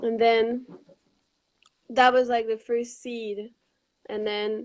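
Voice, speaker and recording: A woman with a Quebec accent speaks at a fairly slow pace in a fairly high pitch, her intonation monotone and flat. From Quebec, Montreal. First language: French. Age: 20s. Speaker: raw vegan cookbook author. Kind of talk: casual interview.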